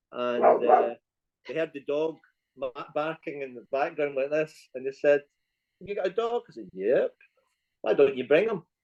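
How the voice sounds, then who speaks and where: Speaking in a Scottish accent at a moderate pace, a man with a fairly high voice uses lively intonation, big swings in loudness and long, frequent pauses, in a dry, close sound with no echo. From Scotland. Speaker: tour guide. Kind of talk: casual interview chat. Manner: halting, repeats words.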